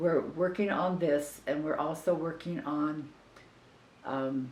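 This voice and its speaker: A woman's very deep, low voice in an American accent, fairly even in intonation, with audible room echo and noticeable background noise. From Southern California. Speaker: family member interviewee, cancer patient. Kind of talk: family oral history interview. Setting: at a relative's house. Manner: halting, repeats words.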